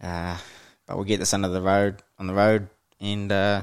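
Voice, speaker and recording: Fairly low in pitch, a man talks with a New Zealand accent. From New Zealand, Waikato (Hamilton). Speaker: podcast host. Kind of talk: casual solo monologue. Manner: hesitant, many fillers.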